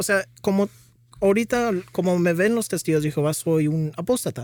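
At a moderate pace, a man speaks at high pitch on a very clean, dry, close recording with no echo and a silent background. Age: 20s. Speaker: former Jehovah's Witness, ministry volunteer. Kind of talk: testimony. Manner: halting.

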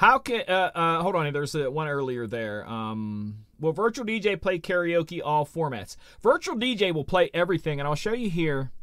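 High-pitched male voice with very wide pitch swings. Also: moderate pace. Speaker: DJ and livestream host. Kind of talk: live-streamed tutorial show. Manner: casual, with frequent fillers.

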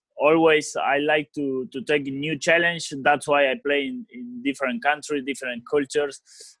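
Fairly high in pitch, a man talks with an Argentine accent. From Argentina (Rosario). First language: Spanish. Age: 30s. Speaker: professional footballer. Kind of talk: interview. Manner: halting.

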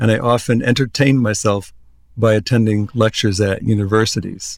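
On a very clean recording with a silent background, a man talks with a Midwestern American accent. His pace is moderate. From US Midwest, Iowa. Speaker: newspaper editor-in-chief. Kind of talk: interview.

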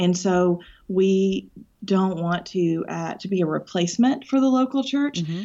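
This woman has an ordinary speaking voice at a medium pitch. She talks at a fairly slow pace. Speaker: ministry leader. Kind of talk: casual interview.

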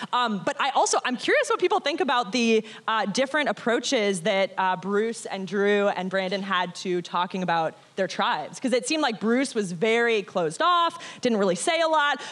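An animated, energetic tone at a moderate pace, with very even loudness and very wide pitch swings. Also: woman, fairly high pitch for a woman. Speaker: former Survivor contestant. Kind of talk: casual live chat on stage. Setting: stage with audience.

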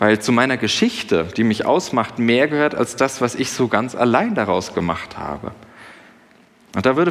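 A man with a medium pitch and lively intonation, at a moderate pace. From Germany, Sauerland. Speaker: pastor. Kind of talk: sermon. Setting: church service with congregation. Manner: conversational, with fillers.

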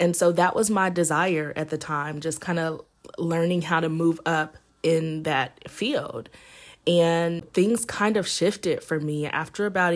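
A woman speaks in a normal speaking voice with an American accent, fairly low in pitch. She goes at a fairly slow pace against a quiet background. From Indiana. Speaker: podcast host and entrepreneur. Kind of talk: personal storytelling monologue. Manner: conversational with fillers.

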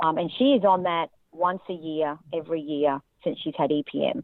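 A woman with an Australian accent, fairly low pitch, ordinary pitch variation and a moderate pace. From Australia, Central Queensland. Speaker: horse owner and reining rider. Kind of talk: testimony.

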